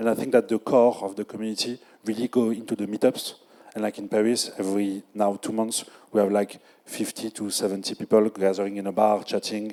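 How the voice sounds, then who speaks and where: A man with a French accent talks at a very fast pace in a fairly low, dark, mellow voice. His intonation is monotone and flat, and the sound is dry and close with no echo. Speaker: community organizer. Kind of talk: panel discussion. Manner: halting.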